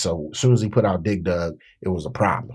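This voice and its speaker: Speaking with an American accent, a man has a very deep, low voice. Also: very clean recording, silent background. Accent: D.C. accent, Southern-tinged. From Washington D.C. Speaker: rapper and author. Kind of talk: casual interview.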